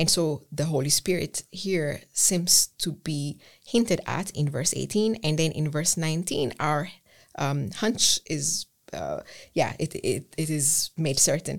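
The pace is fairly slow, and the pitch varies in an ordinary way. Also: woman. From Ethiopia. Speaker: theology lecturer. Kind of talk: academic conversation. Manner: halting.

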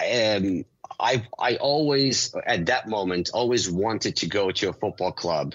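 In a plain, everyday voice, a man with an American accent speaks at a fairly slow pace, his pitch fairly low, his intonation lively and his loudness very even. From Ukraine, then US. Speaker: sports marketing executive and author. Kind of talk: interview conversation.

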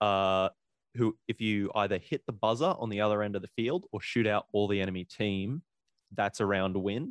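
With an Australian accent, a man speaks at a fairly low pitch and a moderate pace, showing ordinary pitch variation. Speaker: DJ and paintball player. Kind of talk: casual chat.

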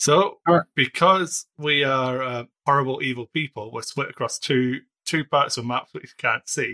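A man's normal speaking voice, fairly high-pitched, with ordinary pitch variation, a moderate pace and a dry, close sound with no echo. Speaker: dungeon master. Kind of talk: casual tabletop roleplaying game chat.

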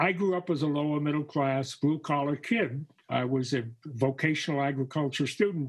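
This man's voice is fairly high-pitched and somewhat breathy. His pitch varies in an ordinary way. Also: moderate pace. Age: 80s+. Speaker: retired educator and artist. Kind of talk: casual chat. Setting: at home. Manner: halting.

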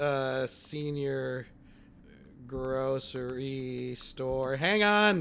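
A man with an American accent speaks at a medium pitch and a very slow pace, with ordinary pitch variation. His tone is bright and sharp, and the room echo is audible. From Chicago. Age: 40s. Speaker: comedian podcast co-host. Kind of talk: casual chat.

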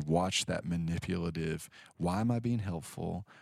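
A man talks with a very deep, low pitch and fairly even intonation. The recording is very clean, with a silent background. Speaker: pastor and law professor. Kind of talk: interview conversation.

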